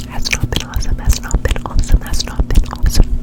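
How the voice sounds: Whispering at a fairly quick pace. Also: woman.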